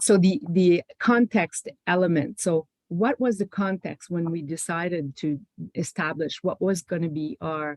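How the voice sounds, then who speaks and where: The speaker has a Quebec accent. The pace is fairly slow. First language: French. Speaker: panelist, public health policy official. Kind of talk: panel presentation. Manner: halting, many fillers and restarts.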